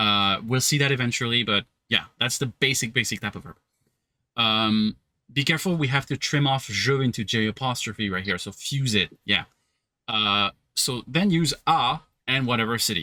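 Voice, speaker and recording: Recorded very cleanly with a silent background and a dry, close sound with no echo, a man with a French accent talks at a moderate pace and medium pitch, his bright, sharp tone showing ordinary pitch variation. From southern France, Cannes. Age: 30s. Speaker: French teacher. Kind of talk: language lesson.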